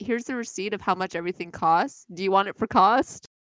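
An unremarkable speaking voice with a Canadian accent, ordinary pitch variation, and a dry, close sound with no echo. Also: woman. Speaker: podcast co-host. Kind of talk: casual chat.

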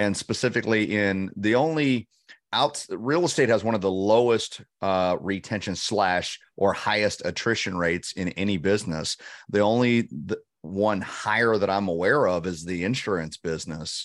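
A man talks in an unremarkable speaking voice with fairly low pitch and ordinary pitch variation. His pace is moderate and the background is quiet. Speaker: leadership coach. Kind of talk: casual chat. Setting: video call.

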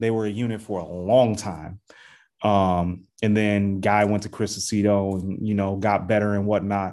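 Recorded very cleanly against a silent background, a man speaks in a dark, mellow tone. His delivery is monotone and flat at a moderate pace. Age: 40s. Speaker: fitness podcast host. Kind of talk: casual interview.

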